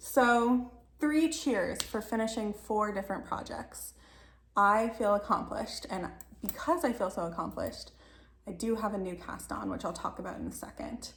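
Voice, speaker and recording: Someone does a raspy put-on character voice with lively intonation at a moderate pace. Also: woman, fairly high pitch for a woman. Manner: talking fast.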